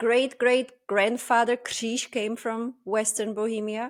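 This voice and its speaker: In a Czech accent, a woman speaks at a very slow pace with fairly high pitch and fairly even intonation. The recording is very clean, with a silent background. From Czech Republic, village near Polish border. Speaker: podcast host. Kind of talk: casual chat.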